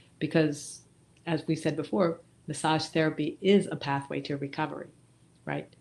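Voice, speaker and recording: A woman with a very deep, low pitch and vocal fry, monotone and flat, at a moderate pace with long, frequent pauses, on a very clean recording with a silent background. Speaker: massage therapist, nonprofit founder. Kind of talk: interview. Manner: halting, with fillers.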